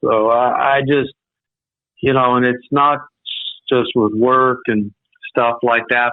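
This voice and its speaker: At a moderate pace, a man speaks. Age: 60s. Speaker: retired metal record producer. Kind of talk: casual interview chat. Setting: radio interview. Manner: halting.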